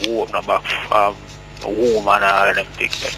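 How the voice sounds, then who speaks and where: A man speaks over noticeable background noise. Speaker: caller. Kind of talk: phone-in call. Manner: halting.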